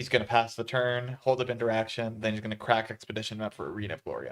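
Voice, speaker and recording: The speaker, a man, goes at a very fast pace. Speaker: tournament commentator. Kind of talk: live commentary. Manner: soft-spoken. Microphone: mic moved closer after audio problem.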